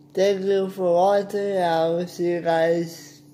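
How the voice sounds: Spoken at a slow pace with a dark, mellow tone, the voice shows little pitch movement against audible room echo. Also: man, high pitch for a man.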